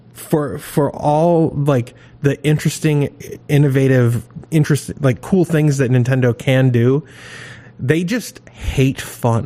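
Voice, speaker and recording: Over noticeable background noise, a man with an American accent and a fairly high pitch speaks at a very slow pace with ordinary pitch variation and very even loudness. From Maine, US. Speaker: podcast co-host. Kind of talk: casual chat.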